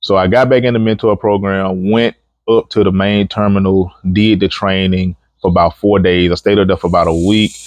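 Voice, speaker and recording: In a strong Alabama accent, a man talks at a fairly quick pace with a fairly low pitch, a relaxed tone, monotone, flat intonation and very even loudness against a quiet background. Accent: thick Southern (Alabama). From Alabama, US South. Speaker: truck driver trainer. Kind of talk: casual vlog monologue. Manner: relaxed, conversational.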